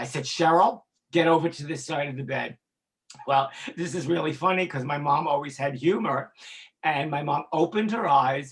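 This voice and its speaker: Speaking at a moderate pace, a man has a somewhat breathy, fairly high voice with ordinary pitch variation. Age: 60s. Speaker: former music industry executive in addiction recovery. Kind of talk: interview testimony. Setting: podcast interview. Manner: halting, with repetitions and fillers.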